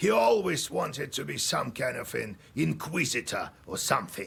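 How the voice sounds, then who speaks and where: In a put-on character voice, a man sounds raspy at a fairly high pitch and keeps a moderate pace. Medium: video game. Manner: dry, wry.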